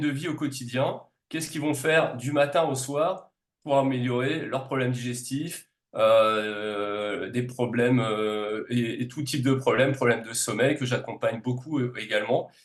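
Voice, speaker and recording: The man talks fairly slowly, his medium pitch showing ordinary variation. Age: 40s. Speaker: naturopath and reflexologist. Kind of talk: podcast interview. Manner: hesitant, many filler sounds.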